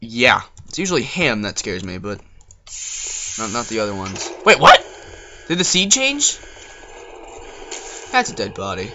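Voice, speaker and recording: At a moderate pace, the speaker leaves long, frequent pauses over noticeable background noise. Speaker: gaming youtuber. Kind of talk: let's play commentary. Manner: animated.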